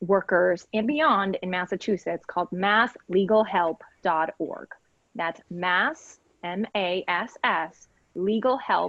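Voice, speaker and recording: A woman's medium-pitched voice at a very slow pace. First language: Spanish. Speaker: legal aid lawyer. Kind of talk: panel discussion.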